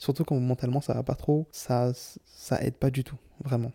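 With a dark, mellow tone at medium pitch, a man speaks in a monotone, flat way at a moderate pace, the sound dry and close with no echo. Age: 20s. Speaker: solo podcaster. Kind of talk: personal monologue.

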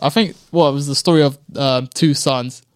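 In a London accent, a man speaks at a fairly high pitch with fairly even intonation. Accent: London (multicultural London English). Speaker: knife crime victim, guest. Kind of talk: interview testimony. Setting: studio.

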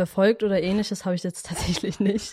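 Monotone, flat intonation goes with a dark, mellow tone in this voice. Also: woman. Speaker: media production trainee. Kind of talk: casual chat.

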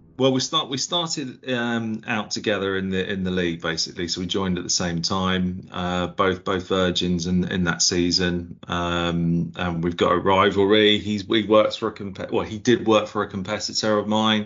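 A man with an Essex accent speaks in a very deep, low voice at a moderate pace, with ordinary pitch variation. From Essex, England. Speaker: IT worker, fantasy league manager. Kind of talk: casual chat. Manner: halting.

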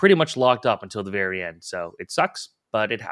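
An unremarkable speaking voice talks at a fairly quick pace with ordinary pitch variation, in a dry, close sound with no echo and a very clean recording with a silent background. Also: man. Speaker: fantasy hockey podcast co-host. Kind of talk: casual podcast discussion. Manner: stumbling, fast, self-interrupting.

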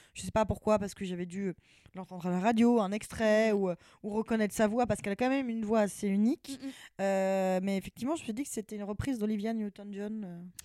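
A woman talks very fast at a medium pitch, her tone dark and mellow and her intonation fairly even. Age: 20s. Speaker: podcast host. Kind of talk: casual chat; scripted outro.

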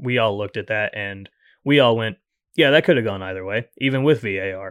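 An ordinary speaking voice from a man, medium in pitch, fairly quick in pace, with ordinary pitch variation. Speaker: podcast producer. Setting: studio.

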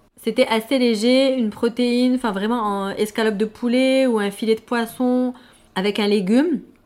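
Using a normal speaking voice, a woman talks at a moderate pace with a fairly high pitch and fairly even intonation. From Morocco (Fès, Casablanca). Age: 30s. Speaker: expatriate sharing home cuisine. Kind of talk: interview.

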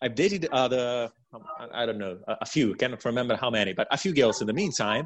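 With an Italian accent, a man speaks at a medium pitch and a moderate pace, his intonation lively. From Italy. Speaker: coaching client. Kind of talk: interview testimony. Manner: halting.

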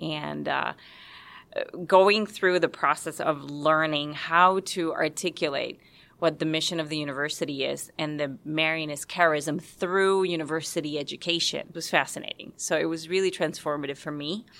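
The speaker has a Spanish accent and fairly even intonation at a moderate pace. The recording is very clean, with a silent background. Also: woman, very deep, low pitch for a woman. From Puerto Rico, San Juan. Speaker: university staff, lay religious member. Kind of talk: interview testimony.

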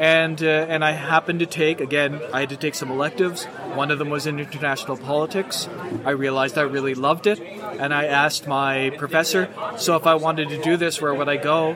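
Over noticeable background noise, a man with a Maritime Canadian accent talks at a fairly quick pace, his fairly high pitch held in fairly even intonation. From Nova Scotia, Canada. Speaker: political science professor. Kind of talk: casual chat. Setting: outdoors at a pub.

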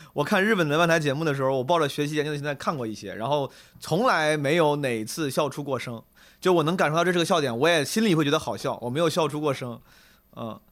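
A man speaks in an animated tone at a very fast pace, his fairly high voice captured in a very clean recording with a silent background. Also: ordinary pitch variation. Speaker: comedian. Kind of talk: casual chat. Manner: animated, joking.

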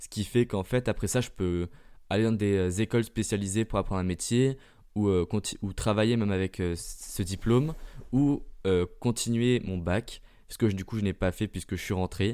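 A dark, mellow voice moves at a moderate pace with long, frequent pauses on a very clean recording with a silent background. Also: man, fairly low pitch for a man, ordinary pitch variation. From Germany. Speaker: podcaster. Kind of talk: casual monologue.

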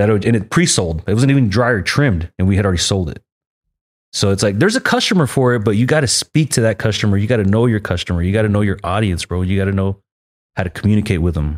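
Speaking at a very fast pace, a man with an American accent uses a fairly low pitch. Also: ordinary pitch variation. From Texas, Arlington (Dallas suburb). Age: 40s. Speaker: cannabis grower and brand owner. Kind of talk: casual chat.

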